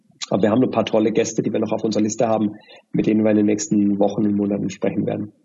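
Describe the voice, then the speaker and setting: Very fast and monotone, a man speaks with flat intonation and very even loudness. His pitch is fairly low, with vocal fry. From Germany. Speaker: bike shop owner. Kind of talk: interview. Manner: hesitant with many fillers.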